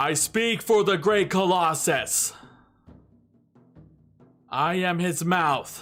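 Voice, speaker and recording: A man in a put-on character voice speaks at a very slow pace with a high pitch, leaving long, frequent pauses over faint music in the background. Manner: grand, proclaiming.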